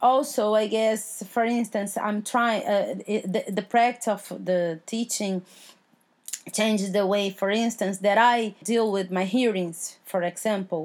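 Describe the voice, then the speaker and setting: A woman talks at a fairly slow pace with a medium pitch. Her intonation stays fairly even. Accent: Portuguese. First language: Portuguese. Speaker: judge and law professor. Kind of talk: interview. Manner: halting, many fillers and repeats.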